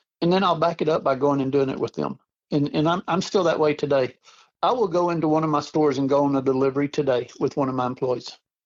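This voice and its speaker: Very fast and with very even loudness, a man speaks in a Texan accent with ordinary pitch variation. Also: fairly high pitch for a man. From Texas. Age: 60s. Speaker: rent-to-own store owner. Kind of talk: interview.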